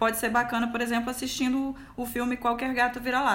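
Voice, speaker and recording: The speech moves at a fairly quick pace. Audible room echo is present. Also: woman. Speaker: communications professional. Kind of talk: casual chat. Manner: talkative, lots of laughter.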